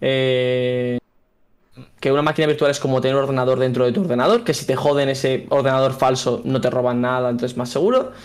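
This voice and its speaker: A man with an unremarkable speaking voice, medium in pitch, fairly quick, with fairly even intonation and a quiet background. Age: 20s. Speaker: software engineer and content creator; content creator. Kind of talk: casual interview. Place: home room. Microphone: studio mic.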